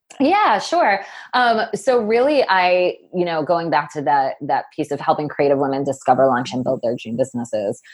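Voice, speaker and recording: Against a quiet background, a woman's pitch swings very widely. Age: 40s. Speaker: business coach for creative women. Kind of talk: interview conversation. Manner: animated.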